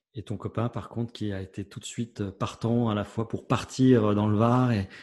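The background is quiet as a man speaks. His pitch is fairly low, and his intonation is monotone and flat. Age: 50s. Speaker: podcast host, comedian. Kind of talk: interview.

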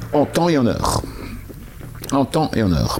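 Noticeable background noise sits behind the voice. It belongs to a man with a medium pitch. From Alsace, France. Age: 50s. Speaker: entrepreneur. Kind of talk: interview.

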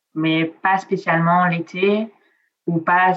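Woman with an Italian accent, fairly low pitch and fairly even intonation. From Nice, southern France. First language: Italian (speaking French). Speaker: travel blogger. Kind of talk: casual interview. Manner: hesitant, many fillers.

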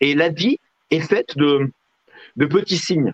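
A man's voice in a dry, close sound with no echo. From southwestern France (Lot). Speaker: real estate agent and TV personality. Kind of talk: interview.

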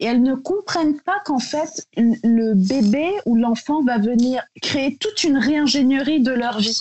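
Her voice is high and her intonation lively. The woman speaks very slowly, with hardly any pauses. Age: 30s. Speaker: beauty brand founder. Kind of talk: casual interview.

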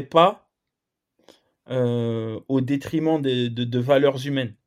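A man's fairly high-pitched voice, very slow in pace, with ordinary pitch variation. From Lyon, France. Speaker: football coach, former pro player. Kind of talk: podcast interview. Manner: halting.

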